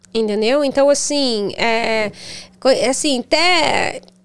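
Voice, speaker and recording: The speaker is a woman with a high pitch. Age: 40s. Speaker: charity founder. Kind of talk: casual chat.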